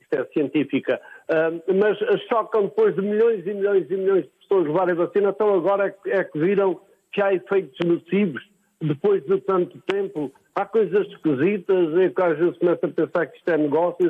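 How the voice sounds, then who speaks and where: Moderate pace and ordinary pitch variation from a man with a high voice. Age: 60s. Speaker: caller. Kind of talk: call-in comment.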